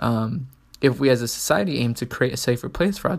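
This man talks at a fairly quick pace with an American accent. His voice is at a medium pitch, with lively intonation. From San Diego, California, US. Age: 20s. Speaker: podcast host, college student. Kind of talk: solo podcast monologue, semi-scripted. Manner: hesitant, with fillers.

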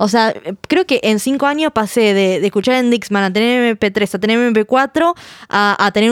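A woman's plain, everyday voice, a plain, everyday voice at fairly high pitch with ordinary pitch variation and a moderate pace, in a dry, close sound with no echo. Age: 20s. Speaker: podcast host. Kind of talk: casual chat.

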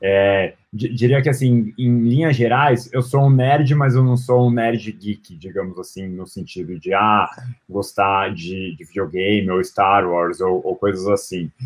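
This man has an ordinary speaking voice at medium pitch with ordinary pitch variation. He talks at a fairly slow pace. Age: 20s. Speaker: marketing executive. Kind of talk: interview.

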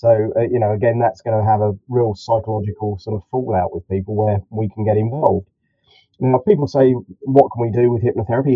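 A man talks at a fairly quick pace in a southern English accent. His pitch is medium, with ordinary variation. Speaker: clinical hypnotherapist.

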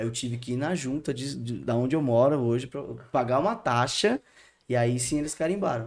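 The recording is very clean, with a silent background. A man with an unremarkable speaking voice talks at a fairly quick pace in a medium pitch with ordinary pitch variation. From Santo André, São Paulo state, Brazil. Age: 30s. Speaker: theology student. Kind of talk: casual interview chat.

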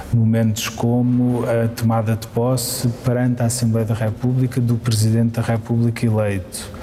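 Over noticeable background noise, a man with a medium pitch speaks at a moderate pace with hardly any pauses and monotone, flat intonation. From Portugal, Santarém. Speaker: member of parliament. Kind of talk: interview. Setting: parliament building atrium. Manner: halting, with frequent repetitions and fillers; formal.

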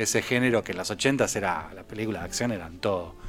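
A man with a Rioplatense accent, medium in pitch, at a fairly quick pace, with lively intonation and music in the background. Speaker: film commentator. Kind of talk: casual chat.

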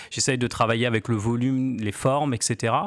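On a very clean recording with a silent background, a man uses a normal speaking voice at a medium pitch and a moderate pace. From Normandy, France (Cherbourg). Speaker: graffiti artist. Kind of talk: radio interview.

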